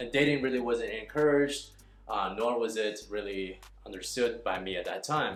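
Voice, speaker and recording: Audible room echo surrounds a man speaking with a Chinese accent. His medium pitch shows ordinary pitch variation at a moderate pace. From northern China, then Texas from age nine. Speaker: dating coach. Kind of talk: casual vlog monologue. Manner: conversational with many fillers.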